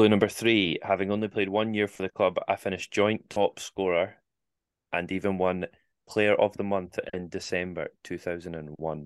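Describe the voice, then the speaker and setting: Against a quiet background, a man with a Scottish accent and a fairly low pitch speaks at a moderate pace in a monotone, flat intonation, with a dry, close sound and no echo. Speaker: football podcast co-host. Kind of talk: quiz hosting; casual chat.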